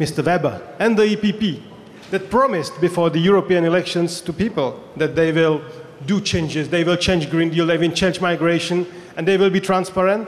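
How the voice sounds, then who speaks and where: Noticeable background noise surrounds a man with a high pitch and fairly even intonation. He talks at a fairly quick pace with very even loudness. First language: Czech. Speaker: politician. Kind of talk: panel discussion.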